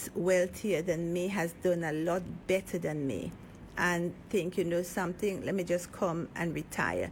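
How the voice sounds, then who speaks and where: A soft-spoken woman with a fairly low pitch, talking at a moderate pace. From Grenada. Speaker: political candidate and business owner. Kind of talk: radio interview.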